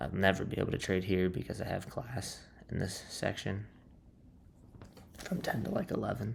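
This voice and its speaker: A quiet man speaks at a moderate pace, leaving long, frequent pauses. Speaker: day trader vlogger. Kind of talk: casual trading recap. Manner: quiet, subdued.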